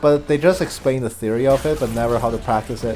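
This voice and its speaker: A man speaks quietly at a medium pitch and a moderate pace. Music plays in the background. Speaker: game commentator. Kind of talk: live commentary. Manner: quieter, taking it easy.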